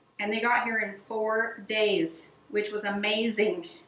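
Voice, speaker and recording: Audible room echo fills the space as a woman talks at a very slow pace. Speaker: home renovation creator. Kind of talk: home tour narration. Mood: enthusiastic, proud. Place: bathroom.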